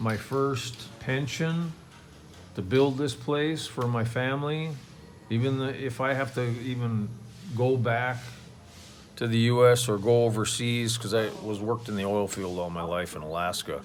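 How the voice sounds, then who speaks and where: Audible room echo surrounds a fairly slow delivery with long, frequent pauses and ordinary pitch variation. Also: man, medium pitch for a man. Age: 60s. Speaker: expat vlogger, retired oil field worker. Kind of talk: casual vlog monologue. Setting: outdoors at home by a pool. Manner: halting, many fillers and restarts.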